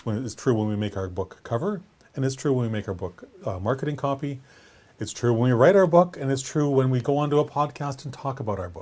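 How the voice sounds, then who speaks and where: A man talks at a very fast pace with lively intonation. His voice sits at medium pitch and is somewhat breathy. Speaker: writing coach. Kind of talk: vlog-style talk to camera. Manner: animated.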